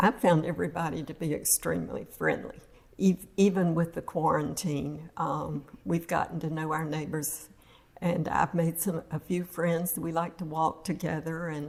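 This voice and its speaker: A woman speaks with a fairly low pitch and vocal fry. Her intonation is fairly even and her pace moderate. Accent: American. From northern Florida. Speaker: retired resident interviewee. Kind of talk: casual interview.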